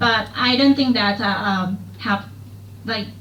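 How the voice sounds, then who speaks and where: A woman with a Thai accent speaks at a fairly slow pace. Audible room echo and noticeable background noise are present. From rural Thailand. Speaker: student. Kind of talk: classroom discussion. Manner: halting, many fillers.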